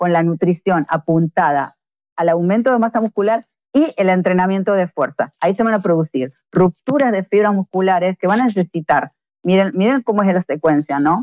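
An ordinary speaking voice with lively intonation and very even loudness comes through in a dry, close sound with no echo. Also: woman, medium pitch for a woman, moderate pace. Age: 50s. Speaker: fitness coach. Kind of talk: interview.

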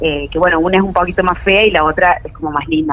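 Against noticeable background noise, a woman with a medium pitch speaks at a fairly quick pace. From Córdoba, Argentina. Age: 30s. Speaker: caller sharing paranormal story. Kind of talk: personal testimony. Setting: remote call.

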